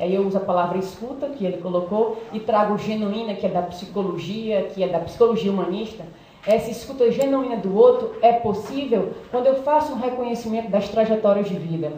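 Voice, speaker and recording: Amid noticeable background noise and audible room echo, a woman speaks at a fairly quick pace with hardly any pauses, pitched fairly high with ordinary pitch variation. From Brazil, Ceará (Fortaleza). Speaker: psychologist, doctoral student. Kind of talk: seminary summary talk.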